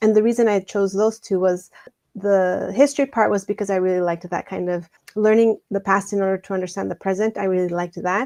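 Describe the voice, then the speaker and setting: In a Spanish accent, a woman talks at a very fast pace with a dark, mellow tone, medium pitch and fairly even intonation, the sound dry and close with no echo. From Mexico, raised in Douglas, Arizona. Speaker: education scholar and author. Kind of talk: interview.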